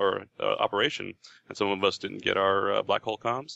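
The recording is dry and close, with no echo. This man speaks fairly quickly. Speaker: gaming writer. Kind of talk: casual chat. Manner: halting, many fillers.

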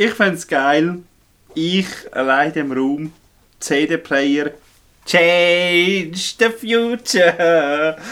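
A man with a Swiss accent speaks at a very slow pace, leaving long, frequent pauses. His voice is high-pitched with a bright, sharp tone and ordinary pitch variation. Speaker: podcast co-host, storyteller. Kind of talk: casual chat. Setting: indoors in a remote cabin.

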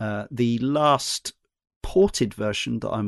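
Recorded with a dry, close sound with no echo against a quiet background, a man talks with a British accent. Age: 40s. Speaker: podcast host. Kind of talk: casual chat.

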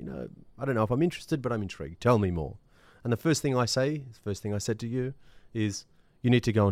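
A man speaks with an Australian accent and lively intonation. The recording is very clean, with a silent background. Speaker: fitness franchise executive. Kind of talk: interview. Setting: recording studio.

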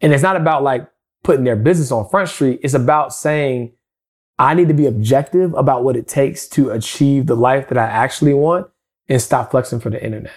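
A man with an ordinary speaking voice talks at a fairly quick pace with a fairly high pitch. His pitch variation is ordinary, and the recording is very clean with a silent background. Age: 30s. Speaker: financial advisor. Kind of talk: podcast interview.

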